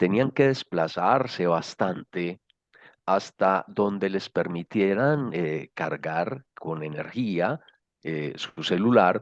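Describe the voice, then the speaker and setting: A man speaks very slowly with lively intonation, his voice dry and close with no echo against a quiet background. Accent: paisa. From Colombia, Medellín (paisa). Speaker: social innovation speaker. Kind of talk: lecture. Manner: hesitant, many fillers.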